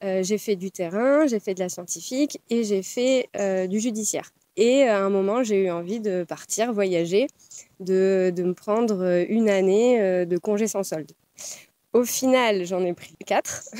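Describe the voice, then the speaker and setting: At a fairly slow pace, a woman speaks in a dark, mellow tone at medium pitch with ordinary pitch variation. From France. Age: 30s. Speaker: former police officer, student. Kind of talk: casual interview. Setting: outdoors among pine trees.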